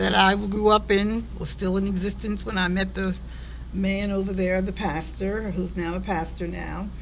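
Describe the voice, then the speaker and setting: A woman with an American accent talks at a fairly slow pace, with noticeable background noise and audible room echo. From Delaware County, Pennsylvania, US. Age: 70s. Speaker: family elder interviewee. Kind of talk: family conversation interview.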